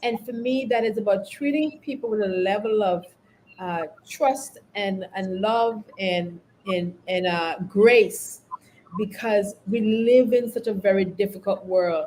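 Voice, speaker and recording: A woman with a Caribbean accent talks at a fairly slow pace, her medium pitch showing ordinary variation. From Caribbean, St. Vincent and the Grenadines. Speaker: leadership consultant and company founder. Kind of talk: podcast interview.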